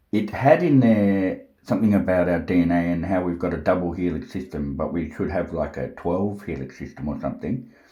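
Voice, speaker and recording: Dark, mellow tone in an Australian accent at a fairly quick pace, with hardly any pauses, ordinary pitch variation and audible room echo. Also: man, very deep, low pitch for a man. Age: 40s. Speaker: self-styled prophet vlogger. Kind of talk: rambling monologue. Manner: agitated, forceful.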